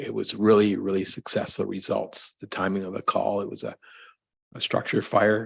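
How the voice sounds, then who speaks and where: Soft-spoken and at a fairly quick pace, a man talks in a Canadian accent. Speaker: fire chief. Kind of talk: council meeting report.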